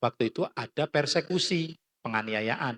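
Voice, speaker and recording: Dry and close with no echo, a man's fairly high voice moves at a fairly slow pace with lively intonation. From Central Java (Klaten). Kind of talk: talk. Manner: animated.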